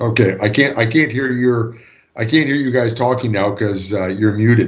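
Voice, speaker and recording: A man with a Canadian accent speaks at a moderate pace and medium pitch, somewhat breathy. His intonation is fairly even, and audible room echo surrounds him. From Canada. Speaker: law lecturer. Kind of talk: lecture. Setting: video call. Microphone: long-distance online connection.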